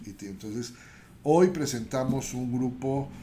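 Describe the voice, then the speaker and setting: Very slowly and amid audible room echo, a man talks in a medium-pitched voice with ordinary pitch variation. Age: 60s. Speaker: entrepreneur. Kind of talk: interview.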